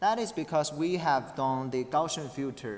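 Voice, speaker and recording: At a fairly slow pace, the speaker talks with a non-native accent. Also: man. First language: not English. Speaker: conference paper presenter. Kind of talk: academic presentation with Q&A. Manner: halting, many false starts and fillers.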